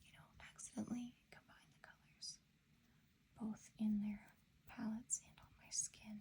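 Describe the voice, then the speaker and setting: Whispering at a moderate pace, broken by long, frequent pauses. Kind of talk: ASMR show and tell. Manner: soft-spoken.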